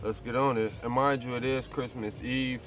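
With faint music in the background, a man speaks at a moderate pace with fairly even intonation, the sound dry with no echo. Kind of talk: casual vlog chat. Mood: resigned, low-key. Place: car. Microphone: phone near.

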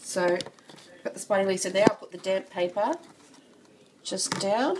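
A woman talks at a moderate pace. Behind her there is noticeable background noise. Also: medium pitch for a woman, ordinary pitch variation. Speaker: insect keeper. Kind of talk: casual tutorial talk to camera.

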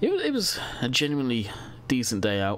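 A man speaks over noticeable background noise. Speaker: gaming YouTuber. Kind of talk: casual gameplay commentary. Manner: casual, chatty.

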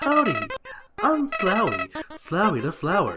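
A man uses a put-on character voice. It is extremely high-pitched and fairly slow. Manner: cheerful greeting.

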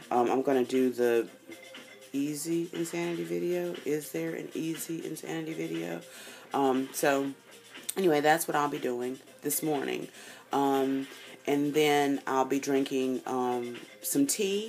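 Over music in the background, a woman speaks fairly slowly in a very deep, low voice with very wide pitch swings. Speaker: fitness vlogger. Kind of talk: casual vlog chat. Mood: determined, upbeat. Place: home room. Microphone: phone near.

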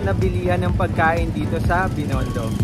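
Loud background noise behind a man's moderately paced speech. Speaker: food vlogger. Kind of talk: casual vlog chat. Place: street. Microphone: phone near.

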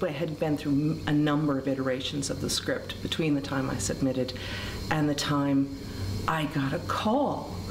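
There is noticeable background noise behind this woman. Her voice is very deep and low. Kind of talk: interview answer. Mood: animated, amused storytelling. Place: hall. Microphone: camera far.

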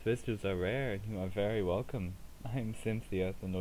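Pitch varies in an ordinary way through a natural reading voice.

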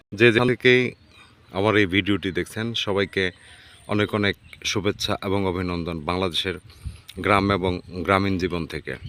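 A man speaks with a very deep, low pitch in a dry, close sound with no echo. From Bangladesh, rural village. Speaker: vlogger. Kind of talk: travel vlog narration. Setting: outdoors in a mustard field by a river. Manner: enthusiastic.

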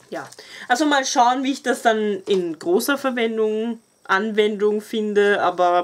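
Woman with an Austrian accent, fairly high pitch and lively intonation, over light background noise. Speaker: beauty YouTuber. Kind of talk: casual product review vlog. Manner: animated. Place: home room. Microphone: camera far.

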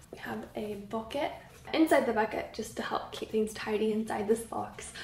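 Light background noise and audible room echo surround a woman as she talks. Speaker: craft YouTuber. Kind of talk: casual vlog. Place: home room. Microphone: camera far.

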